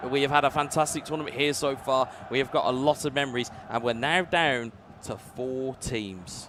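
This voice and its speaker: A man talks at a moderate pace with a medium pitch and ordinary pitch variation. Noticeable background noise runs underneath. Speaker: esports commentator. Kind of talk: live commentary. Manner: animated.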